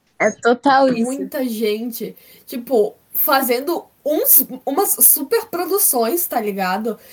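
This woman talks fairly slowly. She has a high voice and lively intonation. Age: 20s. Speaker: podcast guest. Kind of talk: casual chat. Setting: video call.

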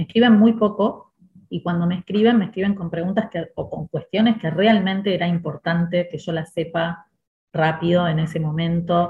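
Somewhat breathy, a woman with a Rioplatense accent talks at a moderate pace in a fairly low pitch, her intonation fairly even. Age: 50s. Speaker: school director and educator. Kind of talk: podcast interview.

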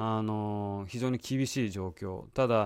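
A man's fairly low voice at a fairly slow pace with fairly even intonation, in a very clean recording with a silent background. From Japan. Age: 40s. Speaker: podcast host. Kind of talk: solo monologue. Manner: halting with many fillers.

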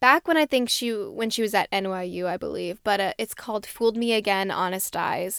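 With a New Jersey accent, this speaker sounds enthusiastic and animated at a moderate pace, on a very clean recording with a silent background. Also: woman. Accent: New Jersey American. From New Jersey, US. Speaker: podcast host. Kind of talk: casual solo podcast monologue. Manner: chatty, enthusiastic, animated; filler-heavy, self-correcting.

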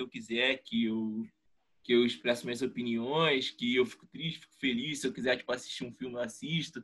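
Lively intonation at a fairly quick pace in a normal speaking voice. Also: man. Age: 20s. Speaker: economics student and podcaster. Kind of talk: casual chat.

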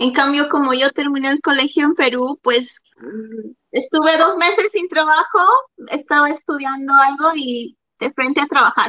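Projecting her voice, a woman with a high pitch and a bright, sharp tone speaks at a moderate pace, the sound dry and close with no echo. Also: ordinary pitch variation. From Peru. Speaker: hairstylist and COVID tester. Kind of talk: casual chat.

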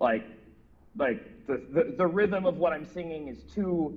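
Vocal fry runs through the speech of a man talking in an American accent. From Minneapolis, US Midwest. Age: 40s. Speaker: rock musician. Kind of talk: interview.

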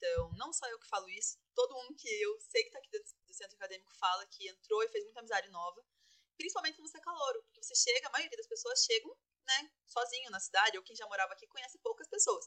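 A woman with a bright, sharp tone and a high pitch projects her raised voice at a very fast pace, with very wide pitch swings and big swings in loudness, in a dry, close sound with no echo. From Paraná, Brazil (Castro). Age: 20s. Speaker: engineering student and student union president. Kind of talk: casual interview.

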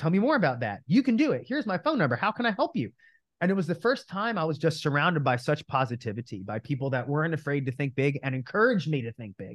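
A somewhat breathy man with an American accent and a fairly high pitch, very fast, with very wide pitch swings, over a quiet background. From New Jersey. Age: 30s. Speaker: real estate coach. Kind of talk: interview.

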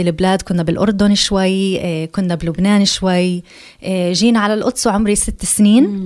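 A woman with an English accent, medium pitch and fairly even intonation, on a very clean recording with a silent background. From Jerusalem. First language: English (speaking Arabic). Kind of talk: radio interview.

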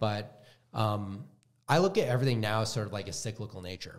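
Here is a man with a plain, everyday voice. He speaks fairly quickly at a fairly low pitch. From US Midwest, Wisconsin. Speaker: autoimmune health coach. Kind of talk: casual interview chat.

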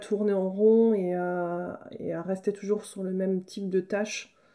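A woman's medium-pitched voice with a dark, mellow tone, at a very slow pace. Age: 30s. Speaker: agricultural trainer and farmer. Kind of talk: interview.

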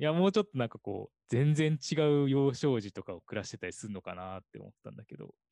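Speaking at a very fast pace with hardly any pauses, a man with a medium pitch and a dark, mellow tone makes very wide pitch swings and big swings in loudness, in a dry, close sound with no echo against a quiet background. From southern Osaka, Japan. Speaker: podcast co-host. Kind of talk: casual chat.

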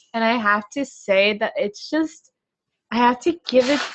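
Using a plain, everyday voice, a woman speaks at a fairly high pitch with lively intonation. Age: 18. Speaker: student podcast co-host. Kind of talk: casual chat. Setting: home recording.

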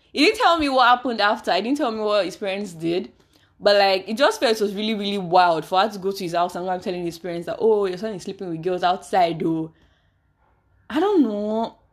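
A woman speaks very fast at a medium pitch, her tone animated and her intonation lively. Her loudness swings widely, and the recording is very clean with a silent background. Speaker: podcast host. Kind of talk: casual chat.

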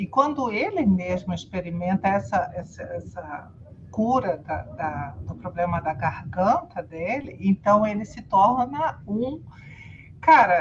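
A woman talks at a very slow pace and medium pitch. Her pitch swings very widely. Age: 50s. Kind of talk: casual chat.

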